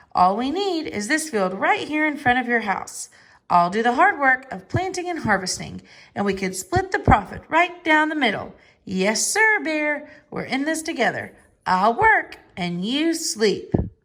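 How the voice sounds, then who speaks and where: A put-on character voice, pitched high, swings very widely in pitch at a moderate pace. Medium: read story. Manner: smooth, persuasive.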